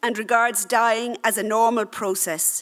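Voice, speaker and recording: The speaker is a woman with an Irish accent. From Ireland. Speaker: doctor. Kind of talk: conference talk, partly read aloud.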